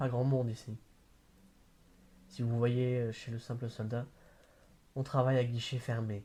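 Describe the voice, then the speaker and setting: The voice has a dark, mellow, somewhat breathy tone. It moves at a fairly slow pace with monotone, flat intonation. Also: man. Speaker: amateur reader. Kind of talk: novel read aloud. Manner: hesitant, with stumbles and repeats.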